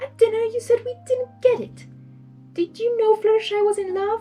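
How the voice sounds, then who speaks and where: Squeaky, extremely high-pitched put-on character voice from a woman, at a moderate pace, with faint music in the background. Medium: read story. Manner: prim, dramatic.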